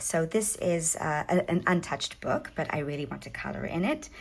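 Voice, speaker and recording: A woman with a South African accent at a moderate pace. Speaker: hobby craft YouTuber. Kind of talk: casual show-and-tell tutorial. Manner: hesitant, many fillers.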